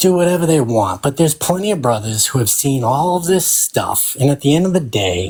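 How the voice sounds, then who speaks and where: A man's fairly high, somewhat breathy voice with a dark, mellow tone, very wide pitch swings and a moderate pace. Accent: American. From Boston. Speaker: freemason web developer. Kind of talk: heated debate. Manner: animated.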